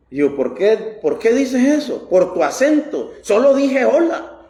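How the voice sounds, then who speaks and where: With audible echo from the room, a man talks at a moderate pace. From Costa Rica. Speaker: pastor. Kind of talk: sermon.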